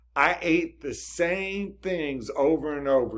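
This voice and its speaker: An ordinary speaking voice from a man at a fairly slow pace in a very clean recording with a silent background. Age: 50s. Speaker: health and diet vlogger. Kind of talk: casual talk to camera.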